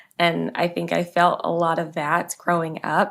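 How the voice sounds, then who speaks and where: Recorded very cleanly against a silent background, a woman with an American accent speaks fairly slowly at a fairly low pitch in an ordinary speaking voice. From US South, Virginia (Manassas). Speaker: author. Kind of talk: podcast interview.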